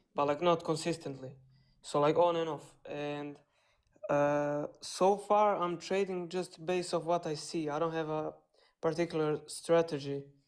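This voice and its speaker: In a non-native accent, the speaker goes at a fairly slow pace in a very clean recording with a silent background. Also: woman, fairly low pitch for a woman. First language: not English. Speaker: caller, beginner trader. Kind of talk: asking questions on a live stream. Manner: halting.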